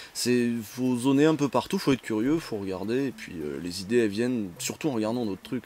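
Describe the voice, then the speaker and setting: This man speaks at a fairly quick pace. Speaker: video game web show host. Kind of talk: interview. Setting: video call. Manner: halting.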